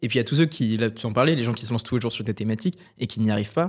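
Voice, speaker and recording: Ordinary pitch variation marks a man talking at a very fast pace. The recording is very clean, with a silent background. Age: 20s. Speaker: podcast host. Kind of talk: casual interview.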